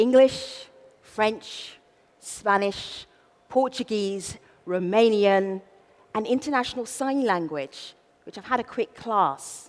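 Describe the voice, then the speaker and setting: A woman's fairly high voice in a South London accent, playful in tone with lively intonation, at a very slow pace with long, frequent pauses and big swings in loudness. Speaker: event host, master of ceremonies. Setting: stage, opening ceremony. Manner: playful, humorous.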